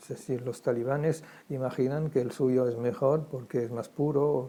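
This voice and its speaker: A man with a German accent speaks at medium pitch and a moderate pace, his tone dark and mellow and his intonation fairly even. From Germany, Frankfurt. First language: German (speaking Spanish). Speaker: Holocaust survivor. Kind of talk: testimony interview. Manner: halting, many repetitions.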